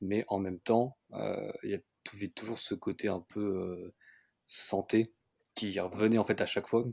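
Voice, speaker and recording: Speaking at a very slow pace, a man with a fairly low pitch keeps his intonation fairly even, recorded dry and close with no echo on a very clean track with a silent background. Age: 30s. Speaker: real estate investor and car workshop deputy manager. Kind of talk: casual interview. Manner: halting, many fillers.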